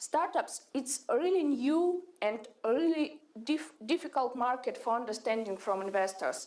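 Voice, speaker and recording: Lively intonation comes at a moderate pace, with very even loudness throughout. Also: woman, high pitch for a woman. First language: Russian. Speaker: startup CEO. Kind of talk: pitch presentation. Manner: halting, many hesitations.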